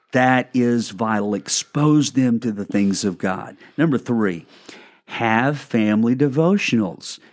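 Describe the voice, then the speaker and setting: A man with an unremarkable speaking voice, medium in pitch with ordinary pitch variation, at a fairly slow pace on a very clean recording with a silent background. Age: 60s. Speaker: pastor and podcast co-host. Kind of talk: casual chat with teaching.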